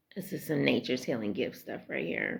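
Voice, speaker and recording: A woman's very deep, low-pitched voice with vocal fry and very wide pitch swings. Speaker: spiritual self-love vlogger. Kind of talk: casual motivational monologue. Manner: loud.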